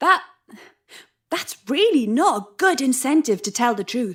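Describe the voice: Put-on character voice with a fairly bright tone, a slightly husky edge, big pitch swings and a fairly slow pace. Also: woman, high pitch for a woman.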